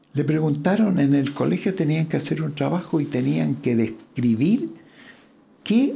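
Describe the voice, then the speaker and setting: Somewhat breathy and dark, mellow in tone, a man's voice moves at a fairly slow pace. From Chile, Curicó. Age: 80s+. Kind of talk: interview conversation.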